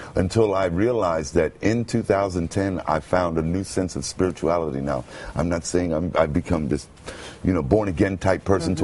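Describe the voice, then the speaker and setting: Over noticeable background noise, a man with an American accent talks at a moderate pace with a very deep, low pitch and ordinary pitch variation. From Brooklyn, United States. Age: 50s. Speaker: homeless man turned radio announcer. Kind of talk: interview answer.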